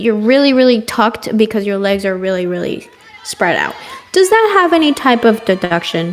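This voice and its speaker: Over crowd noise in the background, a woman with a non-native accent speaks at a moderate pace. Her pitch is fairly high and her intonation lively. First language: not English. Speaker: gymnastics commentator. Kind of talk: live commentary. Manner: excitable.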